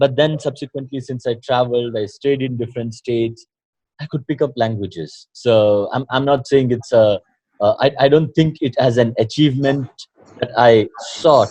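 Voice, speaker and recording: This man has a dark, mellow tone at a medium pitch, talking at a moderate pace with fairly even intonation, somewhat breathy, in a dry, close sound with no echo. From Karnataka, South India. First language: Kannada and Tulu. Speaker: doctor and mind-body coach. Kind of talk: interview. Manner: halting, many fillers.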